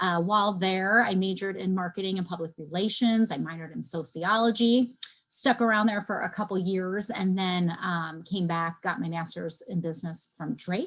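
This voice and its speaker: A woman speaks in a plain, everyday voice at a medium pitch with ordinary pitch variation. She keeps a moderate pace with hardly any pauses. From New Jersey, south of Philadelphia; moved to Iowa as child. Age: 40s. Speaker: marketing consultant, webinar presenter. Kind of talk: webinar presentation. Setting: video call.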